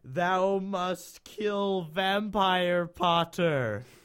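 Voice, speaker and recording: Shouting in a put-on character voice, the speaker uses ordinary pitch variation. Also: man, high pitch for a man. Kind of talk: archaic, dramatic. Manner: yelling.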